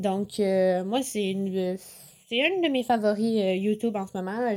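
Lively intonation from a woman in a Quebec accent, her fairly high voice dark and mellow. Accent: Québécois French. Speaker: podcast host. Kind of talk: casual chat. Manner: casual, many filler words.

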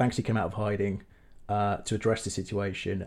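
A man with a southern English accent speaks at a moderate pace in a fairly low, dark and mellow voice, on a very clean recording with a silent background. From southern England. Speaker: film director. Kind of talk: casual chat.

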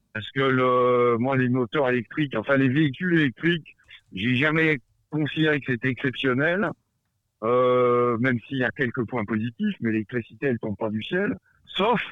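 A man speaks with ordinary pitch variation at a medium pitch, keeping a moderate pace. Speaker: adventurer. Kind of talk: casual chat. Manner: halting.

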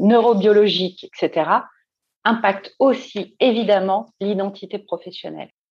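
Very slowly, a woman talks over a quiet background. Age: 40s. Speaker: career coach. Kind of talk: interview.

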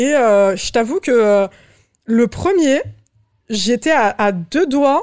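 A woman with a fairly high pitch speaks at a very slow pace. Her loudness stays very even, broken by long, frequent pauses. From Paris suburbs, France. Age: 20s. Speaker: LinkedIn ghostwriter. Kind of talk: casual interview.

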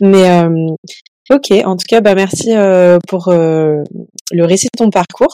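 A woman speaks very slowly in a dark, mellow tone of medium pitch with ordinary pitch variation. The sound is dry and close with no echo. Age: 20s. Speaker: podcast host. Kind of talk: casual interview; solo monologue.

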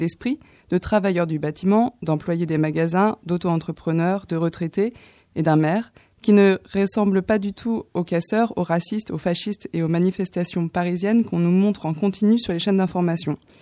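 A woman with a dark, mellow tone speaks at medium pitch and a moderate pace, her intonation fairly even. The sound is dry and close with no echo, on a very clean recording with a silent background. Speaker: radio columnist. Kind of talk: film review.

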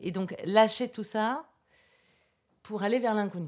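Ordinary pitch variation at a moderate pace, on a very clean recording with a silent background. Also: woman. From France, Versailles. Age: 40s. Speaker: clown trainer and artist. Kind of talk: interview.

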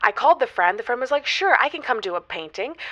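In a put-on character voice, a woman talks fast with a fairly high pitch, a bright, sharp tone and big pitch swings.

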